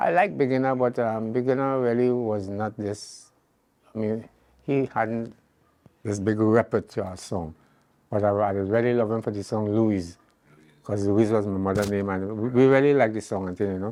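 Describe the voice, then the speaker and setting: Dark, mellow tone from a man, with fairly even intonation at a moderate pace. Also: fairly low pitch for a man. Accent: Trinidadian. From Trinidad. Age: 80s+. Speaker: calypsonian. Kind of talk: interview. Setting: at home.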